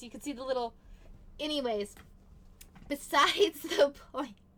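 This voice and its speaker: A woman speaks in a raised, projected voice. Her tone is bright and sharp, pitched high. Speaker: gaming youtuber. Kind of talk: gameplay commentary. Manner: chatty, rambling.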